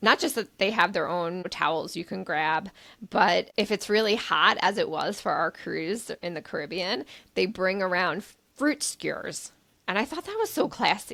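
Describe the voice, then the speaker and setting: Her voice has a medium pitch and a bright, sharp tone, with lively intonation. The woman sounds animated and keeps a moderate pace. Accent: American. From New York. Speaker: travel podcast co-host. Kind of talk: casual chat.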